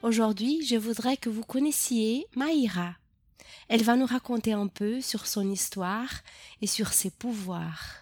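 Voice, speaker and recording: Very slowly, a woman speaks in a fairly high voice with ordinary pitch variation, on a very clean recording with a silent background. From Brazil. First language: Portuguese (speaking French). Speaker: podcast host, French teacher and actress. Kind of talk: interview. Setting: home recording.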